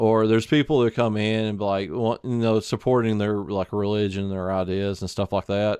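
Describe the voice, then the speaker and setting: Here a man talks at a moderate pace with hardly any pauses. His intonation stays fairly even. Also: fairly low pitch for a man, dry, close sound with no echo. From Alabama, US South. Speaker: game streamer. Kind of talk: casual live stream chat. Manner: halting, many fillers and restarts.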